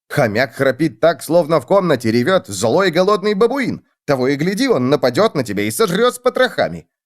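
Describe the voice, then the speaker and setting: Using a put-on character voice, a man talks at a fairly quick pace with hardly any pauses and very wide pitch swings. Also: fairly high pitch for a man. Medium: read story. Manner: lively, emphatic.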